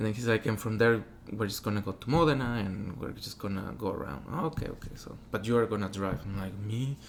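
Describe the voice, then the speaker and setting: Speaking very fast, a man has a fairly low-pitched voice. He talks with a Spanish accent. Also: ordinary pitch variation. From Mexico. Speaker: opera singer. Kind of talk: interview.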